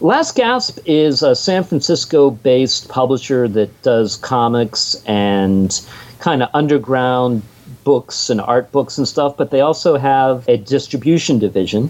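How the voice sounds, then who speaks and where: A man speaks at medium pitch in an ordinary speaking voice, with ordinary pitch variation. His pace is fairly slow and his loudness stays very even. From Pittsburgh, US. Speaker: comic book author and sound engineer. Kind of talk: interview.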